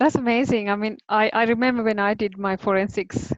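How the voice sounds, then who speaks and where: Fairly quick speech with a non-native accent and fairly even intonation, in a dry, close sound with no echo. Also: woman. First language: not English. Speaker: webinar host. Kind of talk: webinar interview.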